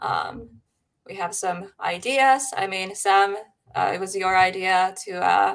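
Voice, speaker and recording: Very slowly and with big swings in loudness, a woman speaks with a Finnish accent. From Finland. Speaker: paranormal live stream host. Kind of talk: casual chat. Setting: live stream. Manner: halting.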